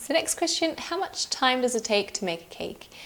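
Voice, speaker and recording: A woman speaks at a moderate pace in a high pitch, with very wide pitch swings. Noticeable background noise is present. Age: 20s. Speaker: cake decorating youtuber. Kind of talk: casual Q&A talk to camera.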